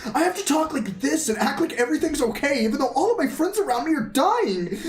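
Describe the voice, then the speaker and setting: A put-on character voice, pitched high and delivered at a very fast clip. Loud noise fills the background. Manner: earnest, strained, trying to stay upbeat.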